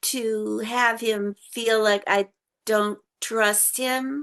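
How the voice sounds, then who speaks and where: A woman speaks at a very slow pace in a bright, sharp tone, with ordinary pitch variation over a quiet background. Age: 70s. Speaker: author living with osteogenesis imperfecta. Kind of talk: casual interview.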